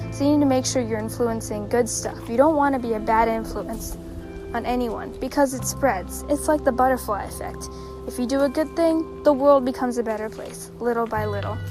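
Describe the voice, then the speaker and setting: Over music in the background, a soothing, calm tone moves at a fairly quick pace. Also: woman. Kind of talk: motivational pep talk.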